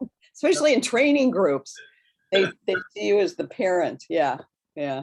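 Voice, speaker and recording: Woman in a General American accent, medium pitch with very wide swings, vocal fry, moderate pace, and long, frequent pauses. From Nebraska, US Midwest. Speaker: bioenergetic therapist. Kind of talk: interview conversation.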